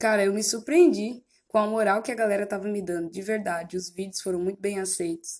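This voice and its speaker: At a fairly quick pace, a woman with an ordinary speaking voice talks at medium pitch with fairly even intonation. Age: 20s. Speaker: podcast host, student, missionary. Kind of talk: personal podcast monologue. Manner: casual.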